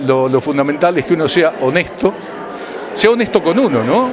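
Speaking at a fairly quick pace with an Argentine accent, a man's high-pitched voice comes through noticeable background noise. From Argentina. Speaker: radio announcer. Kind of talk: interview answer. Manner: emotional, reflective. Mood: moved, grateful. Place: hall. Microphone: handheld.

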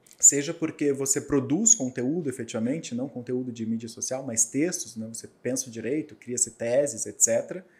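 Hardly pausing, a man talks at a moderate pace in a dark, mellow tone. His pitch varies in an ordinary way. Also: medium pitch for a man, big swings in loudness. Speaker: lawyer and law professor; lawyer, law professor. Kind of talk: podcast interview. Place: studio. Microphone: studio mic.

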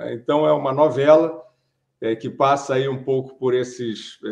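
In a quiet setting, a man's fairly slow speech shows ordinary pitch variation. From Brazil. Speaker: writer and journalist; journalist. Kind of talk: interview. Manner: hesitant, many fillers. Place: home room. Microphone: webcam.

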